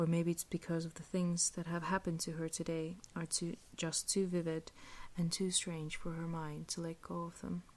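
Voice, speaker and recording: A soft-spoken woman whispers at a moderate pace. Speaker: ASMR reader. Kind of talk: soft-spoken ASMR book reading. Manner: soft-spoken, whispery, relaxing.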